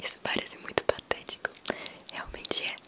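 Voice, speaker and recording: A whisper at a moderate pace, with noticeable background noise. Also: woman. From Brazil, Minas Gerais. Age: young. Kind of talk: ASMR personal talk. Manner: whispered, soft-spoken.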